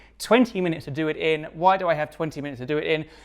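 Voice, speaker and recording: A man's fairly high voice in a very clean recording with a silent background. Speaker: product designer reviewing portfolios. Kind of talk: video commentary. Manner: fast.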